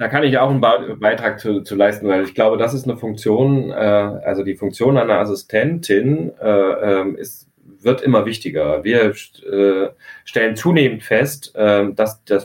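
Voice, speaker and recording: At a fairly slow pace, a man speaks in a medium pitch with ordinary pitch variation and a plain, everyday voice. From Hesse, near Frankfurt. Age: 40s. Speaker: architect and company director. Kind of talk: interview.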